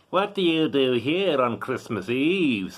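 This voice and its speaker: A man performs a put-on character voice at a fairly high pitch. He delivers it at a fairly slow pace. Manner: stern.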